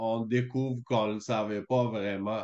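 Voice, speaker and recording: A man speaks at a very slow pace. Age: 40s. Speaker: small business owner, coaching client. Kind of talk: testimony. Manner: halting, many fillers.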